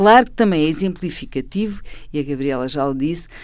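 In a normal speaking voice, a woman talks at a moderate pace with lively intonation, on a very clean recording with a silent background. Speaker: panel commentator, columnist. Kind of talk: panel discussion.

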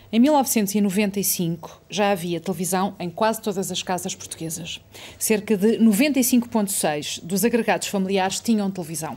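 A woman at medium pitch with a dark, mellow tone, ordinary pitch variation, and a fairly slow pace. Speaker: interviewer. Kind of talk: interview with read-out quotes.

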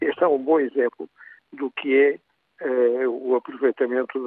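A man speaks at a medium pitch. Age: 80s. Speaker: retired doctor, caller. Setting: phone call.

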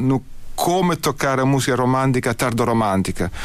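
A man with an Italian accent speaks at a medium pitch. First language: Italian (speaking Portuguese). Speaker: artistic director of an early music ensemble. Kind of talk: radio interview. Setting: radio studio. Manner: halting.

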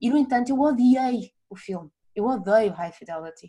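A woman's somewhat breathy voice rises and falls with ordinary pitch variation. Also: quiet background. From northern Portugal. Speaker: music journalist. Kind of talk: casual chat.

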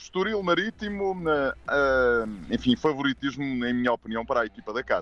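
Speaking at a moderate pace with hardly any pauses, a man with a fairly high voice swings very widely in pitch. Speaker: football pundit. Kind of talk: radio sports preview.

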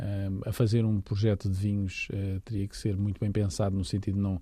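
A man with a Lisbon accent, fairly low-pitched and dark, mellow in tone, at a moderate pace against a quiet background. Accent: European Portuguese, Lisbon. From Portugal, Lisbon. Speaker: winemaker. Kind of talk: interview. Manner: halting.

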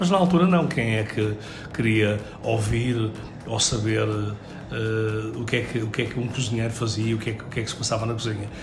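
With audible room echo and noticeable background noise, a man talks fairly quickly at medium pitch, using ordinary pitch variation and long, frequent pauses. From Portugal, Seixal. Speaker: chef. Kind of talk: radio interview. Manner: hesitant, with fillers and repetitions.

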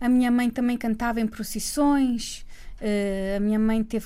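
Using an unremarkable speaking voice, a woman keeps a moderate pace at a fairly high pitch. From Cape Verde (Praia). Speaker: singer. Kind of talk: radio interview.

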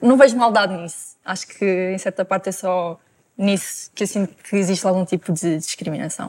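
A woman speaks in a normal speaking voice at medium pitch and a moderate pace, with fairly even intonation, on a very clean recording with a silent background. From Sintra, Portugal. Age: 20s. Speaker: Paralympic swimmer. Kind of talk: TV panel discussion.

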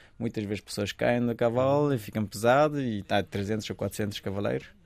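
A man with a Kurdish accent speaks at a moderate pace and medium pitch, with fairly even intonation. The recording is very clean, the background silent. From Afghanistan. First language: Kurdish (speaking Portuguese). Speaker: refugee athlete and architecture student. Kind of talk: interview testimony. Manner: halting.

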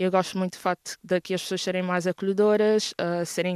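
A woman's fairly low, monotone voice with flat intonation, a moderate pace, and a dry, close sound with no echo. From Mozambique, Maputo. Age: 20s. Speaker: university student. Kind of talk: interview.

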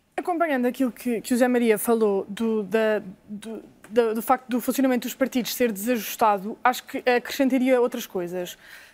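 A woman with an ordinary speaking voice talks at a moderate pace, her fairly high pitch showing ordinary pitch variation on a very clean recording with a silent background. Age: 30s. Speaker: lawyer. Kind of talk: TV debate. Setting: TV studio.

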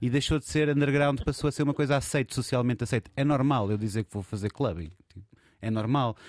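A man talks at a fairly quick pace in a European Portuguese accent, medium in pitch with ordinary pitch variation. The sound is dry and close with no echo. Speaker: DJ and record label co-founder. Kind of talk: casual chat. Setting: studio.

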